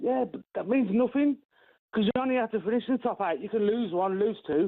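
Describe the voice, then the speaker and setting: A man talks with an English Midlands accent. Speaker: caller. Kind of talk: radio phone-in. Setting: phone call. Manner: halting.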